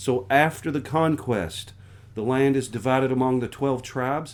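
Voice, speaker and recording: A man with an American accent speaks at a moderate pace in an unremarkable speaking voice, medium in pitch with ordinary pitch variation. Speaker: pastor. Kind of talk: sermon-style Bible book overview.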